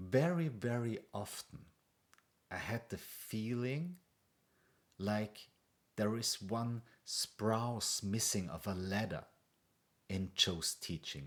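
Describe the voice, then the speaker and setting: The voice moves at a very slow pace with long, frequent pauses, in an Austrian accent. The intonation is lively. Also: man, medium pitch for a man. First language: German. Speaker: meditation coach. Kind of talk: casual talk to camera. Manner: hesitant, with fillers.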